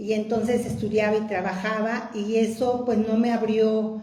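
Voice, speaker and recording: A woman with a fairly high pitch is heard through noticeable background noise and audible room echo. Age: 60s. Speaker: testimony giver. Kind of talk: personal testimony.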